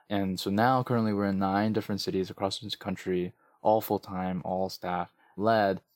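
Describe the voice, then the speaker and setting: In a normal speaking voice with an American accent, a man of fairly low pitch talks at a moderate pace with fairly even intonation, recorded dry and close with no echo and very clean, with a silent background. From New York (Queens, Flushing). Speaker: nonprofit chief executive. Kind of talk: interview.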